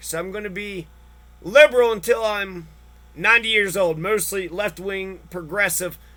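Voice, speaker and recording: A man with a high pitch and a bright, sharp tone speaks in a raised, projected voice with ordinary pitch variation. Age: 30s. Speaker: vlogger. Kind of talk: personal rant monologue. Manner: animated.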